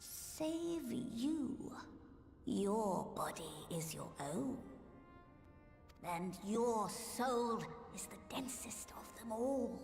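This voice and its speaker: A woman's put-on character voice at a fairly high pitch and very slow pace, with clear music in the background. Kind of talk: archaic formal speech. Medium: game stream. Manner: formal, erudite.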